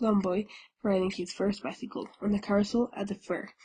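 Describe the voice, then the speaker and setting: Somewhat breathy, a woman speaks at medium pitch. Her pace is moderate. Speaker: audiobook reader. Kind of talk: reading aloud. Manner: halting.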